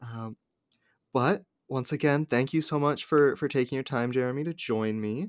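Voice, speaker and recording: The very clean, dry, close recording has a silent background and no echo, and a man speaks at medium pitch with ordinary pitch variation. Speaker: actual play podcast host. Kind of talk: casual chat for tabletop roleplaying podcast.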